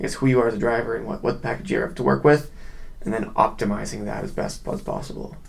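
A man with a Canadian accent talks at a very fast pace, with audible echo from the room. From Edmonton, Canada. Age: 20s. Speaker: race car driver. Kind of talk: casual interview. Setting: live streamed video recording.

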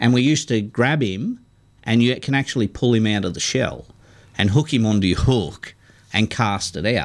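In a very clean recording with a silent background, a man with an Australian accent talks at a moderate pace and medium pitch with ordinary pitch variation. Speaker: radio fishing show co-host. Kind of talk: casual chat.

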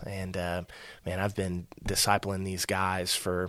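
A man with a Texan accent speaks in a very deep, low pitch on a very clean recording with a silent background. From Texas, near Fort Worth. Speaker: church minister to married adults. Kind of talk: casual interview.

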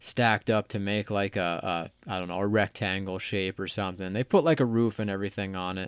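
A man with an ordinary speaking voice talks at a fairly quick pace and a fairly low pitch, keeping his intonation fairly even. The recording is very clean, silent in the background, and dry and close with no echo. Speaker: podcast host guest. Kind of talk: casual chat.

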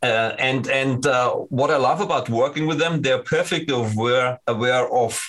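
A man's voice at a medium pitch. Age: 50s. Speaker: sales engineer at a security company. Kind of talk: interview. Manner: halting.

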